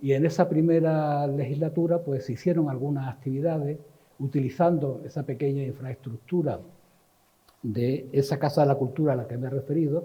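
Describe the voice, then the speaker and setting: A somewhat breathy voice at a fairly quick pace with fairly even intonation. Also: man, fairly high pitch for a man. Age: 70s. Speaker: cultural manager and activist. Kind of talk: talk / reminiscence lecture. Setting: literary society event with audience. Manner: halting, with many fillers.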